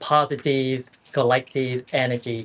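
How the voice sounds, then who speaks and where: A man speaks at a medium pitch with a Vietnamese accent. His intonation is monotone and flat. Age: 60s. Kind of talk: casual conversation with a monk. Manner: halting, repeats words.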